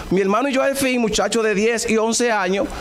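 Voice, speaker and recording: With an animated tone and a Dominican accent, a man with an extremely high pitch and ordinary pitch variation speaks amid noticeable background noise and audible room echo. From Dominican Republic. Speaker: preacher. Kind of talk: sermon.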